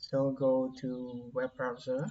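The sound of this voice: At a slow pace, the voice has a dark, mellow tone and monotone, flat intonation, with audible room echo.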